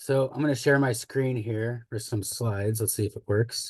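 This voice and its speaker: A man's medium-pitched, somewhat breathy voice at a fairly slow pace, fairly even in intonation, dry and close with no echo over a quiet background. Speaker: fire ecologist. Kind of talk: webinar presentation.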